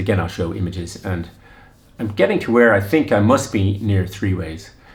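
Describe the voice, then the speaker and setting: At a moderate pace, a somewhat breathy voice shows ordinary pitch variation against audible room echo. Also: man. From Ireland. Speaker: running vlogger. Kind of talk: casual storytelling. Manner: halting, many fillers and restarts.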